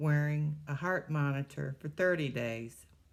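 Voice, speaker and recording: A woman with an American accent speaks at a fairly slow pace with a very deep, low pitch. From Ohio, Cleveland. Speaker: cancer survivor, retired postmaster. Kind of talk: testimony.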